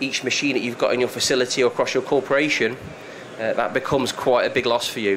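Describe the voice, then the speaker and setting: At a very fast pace, a man of medium pitch speaks in a monotone, flat way over noticeable background noise. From UK. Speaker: software consultant presenter. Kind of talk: presentation to live audience. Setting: room with audience.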